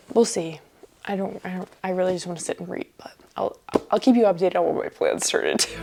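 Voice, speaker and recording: A woman talks at a very fast pace, with big swings in loudness. Noticeable background noise runs behind her. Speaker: book vlogger. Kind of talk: casual reading vlog talk.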